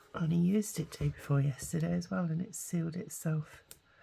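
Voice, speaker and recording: A woman talks at a moderate pace with a very deep, low voice. Her delivery is somewhat breathy. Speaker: craft youtuber. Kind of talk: crafting tutorial. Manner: halting, many fillers.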